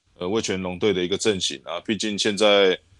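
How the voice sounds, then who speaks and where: A man with a fairly low pitch talks at a fairly quick pace on a very clean recording with a silent background and a dry, close sound with no echo. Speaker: baseball scout and podcast co-host. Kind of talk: casual chat. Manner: halting, many fillers.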